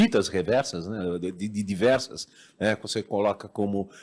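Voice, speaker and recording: The man's voice sits fairly low in pitch and shows ordinary pitch variation. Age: 60s. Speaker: advertising agency partner, audience questioner. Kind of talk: Q&A question after a talk. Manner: halting, many repetitions and fillers.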